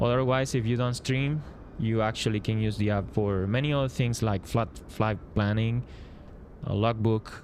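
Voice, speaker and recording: This man talks fairly slowly at a medium pitch. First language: Spanish. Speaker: flight sim streamer and app developer. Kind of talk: live stream commentary. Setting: live stream. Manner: halting, many fillers.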